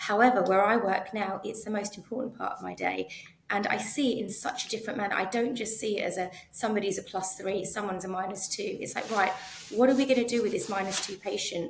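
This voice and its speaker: With a London accent, a woman speaks at a very fast pace with fairly even intonation over noticeable background noise. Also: medium pitch for a woman. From North East London, England. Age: 40s. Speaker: optometrist. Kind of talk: interview conversation. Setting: podcast.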